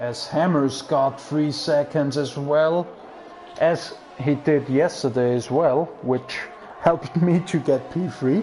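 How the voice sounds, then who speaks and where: Speaking in a German accent, a man has fairly high pitch with ordinary variation. He goes at a very slow pace amid noticeable background noise. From Austria. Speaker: sim racing commentator. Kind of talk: live commentary.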